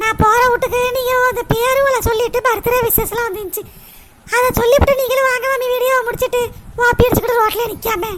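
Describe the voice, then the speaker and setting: An extremely high-pitched, cartoonish character voice speaks at a moderate pace. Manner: reproachful.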